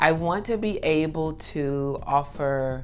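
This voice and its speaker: With music in the background and audible room echo, a woman speaks in an animated tone with ordinary pitch variation. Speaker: hip hop artist and wellness content creator. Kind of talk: casual vlog talk to camera.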